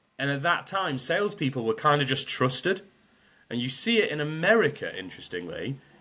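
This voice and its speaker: A loud, bright and sharp voice with a British accent, moving at a fairly quick pace. Its pitch swings very widely, with vocal fry. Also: man, fairly high pitch for a man. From Britain. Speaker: sales trainer. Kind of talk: podcast interview.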